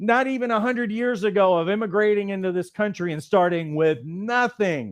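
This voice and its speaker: The man's tone is animated, his pitch high, with ordinary pitch variation at a moderate pace. The sound is dry and close, with no echo. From Louisiana. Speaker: life coach trainer. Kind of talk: motivational talk. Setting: studio, live stream.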